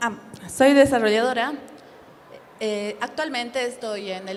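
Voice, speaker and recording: A woman's voice comes through with audible room echo and noticeable background noise around it. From Bolivia. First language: Spanish. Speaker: game developer. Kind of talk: conference panel introduction.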